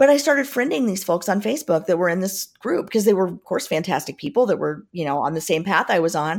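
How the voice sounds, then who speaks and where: Very fast pace, hardly any pauses, very wide pitch swings, in a very clean recording with a silent background. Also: woman, medium pitch for a woman. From US Midwest, Southern Indiana. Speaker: business leadership coach and author. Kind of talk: interview.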